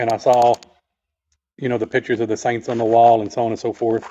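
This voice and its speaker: A man with a Texas accent and a medium pitch. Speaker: author and clairvoyant healer. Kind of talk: podcast interview. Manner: halting, many fillers.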